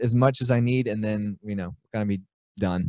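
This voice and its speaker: Talking at a fairly quick pace in an Alabama accent, a man has a medium pitch and a dark, mellow tone. The sound is dry and close, with no echo. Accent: Southern US (Alabama). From US South, Birmingham, Alabama. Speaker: aspiring business buyer, small business owner. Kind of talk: interview. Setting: remote call with good audio gear.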